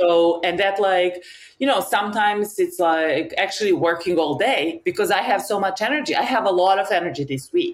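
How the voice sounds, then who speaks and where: A woman with a Serbian accent, medium pitch, lively intonation, moderate pace and very even loudness, over noticeable background noise. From Serbia, Novi Sad. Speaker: map maker and designer. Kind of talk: casual interview.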